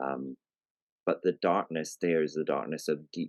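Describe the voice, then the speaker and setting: This man has a very deep, low voice. He speaks with a Scottish accent. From Scotland. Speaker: writer and storyteller, environmentalist. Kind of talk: podcast interview. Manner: halting, with fillers and repeats.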